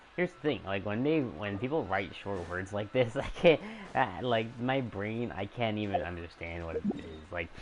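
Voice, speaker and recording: Noticeable background noise accompanies a man with a fairly low pitch, lively intonation, big swings in loudness and a moderate pace. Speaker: gaming streamer. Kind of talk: live stream chat. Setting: live stream. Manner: halting; casual. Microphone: voice too quiet under game audio.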